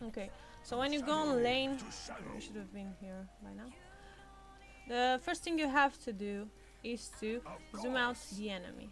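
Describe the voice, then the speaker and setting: Over music in the background, a woman with a non-native accent talks at a moderate pace in a fairly high pitch, her pitch varying in an ordinary way, her loudness swinging widely, and long pauses coming often. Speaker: gamer. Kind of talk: gameplay tutorial commentary.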